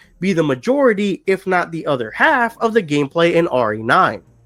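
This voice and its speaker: Fairly quick speech over music in the background. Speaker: gaming YouTuber. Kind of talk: video game news breakdown. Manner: casual, conversational.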